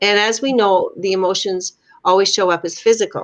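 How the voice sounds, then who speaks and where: This woman has a plain, everyday voice at a medium pitch with ordinary pitch variation. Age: 60s. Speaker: life coach and artist. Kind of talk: casual chat. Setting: live video stream.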